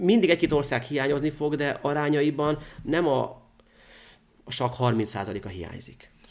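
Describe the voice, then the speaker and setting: Vocal fry runs through a man's fairly high voice as he talks at a fairly slow pace with lively intonation and long, frequent pauses. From Hungary. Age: 30s. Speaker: chess grandmaster; guest. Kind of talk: chess game analysis interview. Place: studio.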